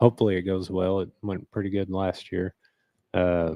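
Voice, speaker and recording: A quiet man speaks at a moderate pace with a very deep, low pitch and a dark, mellow tone. His intonation is monotone and flat, and the sound is dry and close with no echo. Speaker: hunter. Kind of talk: casual chat.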